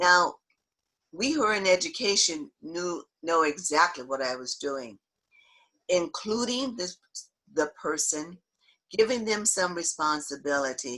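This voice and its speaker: This woman has a fairly low pitch and an American accent, with a bright, sharp tone. Her pitch swings very widely, and she leaves long, frequent pauses. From US South, Memphis, Tennessee. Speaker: diversity trainer, educator. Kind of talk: talk with Q and A.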